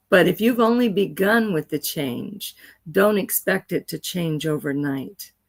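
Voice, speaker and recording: On a very clean recording with a silent background, a woman with an unremarkable speaking voice, fairly low in pitch, talks at a fairly slow pace with lively intonation. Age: 60s. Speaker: educator. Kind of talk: interview.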